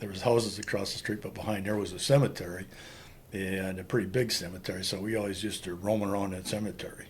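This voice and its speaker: Audible room echo surrounds a man with an American accent and a fairly low voice as he talks very fast in a monotone, flat intonation. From Wisconsin, Green Bay area (US Upper Midwest). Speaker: Vietnam war veteran. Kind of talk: interview testimony.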